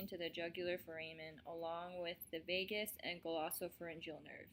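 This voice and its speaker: A woman's medium-pitched voice in an American accent at a moderate pace. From US, Colorado. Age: 20s. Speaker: army medic and student presenter. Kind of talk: student presentation, read from script.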